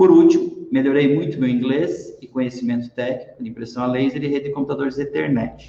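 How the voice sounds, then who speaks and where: A plain, everyday voice keeps its intonation fairly even while moving at a moderate speed. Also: man. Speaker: lecturer / business speaker. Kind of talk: online talk. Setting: live stream.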